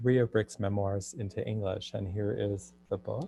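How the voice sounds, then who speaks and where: Against a quiet background, a man talks at a moderate pace with fairly low pitch and fairly even intonation, the sound dry and close with no echo. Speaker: translator. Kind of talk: online talk.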